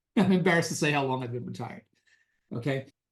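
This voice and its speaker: A man talks very fast with a New York accent. His pitch swings very widely. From New York City, the Bronx. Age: 60s. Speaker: retired investor and author. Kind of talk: interview.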